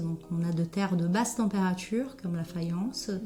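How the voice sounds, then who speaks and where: Over noticeable background noise, a woman with a slight Brazilian accent speaks at a fairly slow pace. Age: 40s. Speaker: ceramicist. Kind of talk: interview. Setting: ceramics workshop. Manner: hesitant, many filler sounds.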